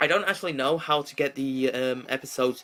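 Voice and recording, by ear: Read aloud in a natural voice, with fairly even intonation.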